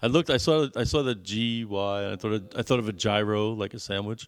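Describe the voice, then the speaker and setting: A man with a fairly low pitch talks at a fairly quick pace with ordinary pitch variation. The recording is very clean, with a silent background. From US Northeast, New York City. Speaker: podcast co-host, father. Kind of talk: casual chat. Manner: hesitant, many fillers and repeats.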